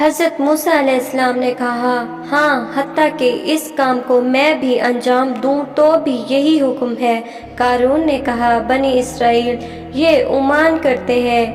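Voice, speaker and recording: Over music in the background, a woman talks at a high pitch with fairly even intonation and very even loudness. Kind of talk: religious story narration.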